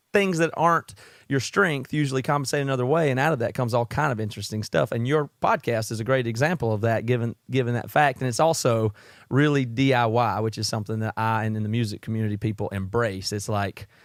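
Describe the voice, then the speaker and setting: A man with a Southern US accent and a medium pitch talks at a very fast pace with ordinary pitch variation, in a very clean recording with a silent background and a dry, close sound with no echo. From South Carolina, US South. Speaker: podcast host and musician. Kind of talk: podcast interview.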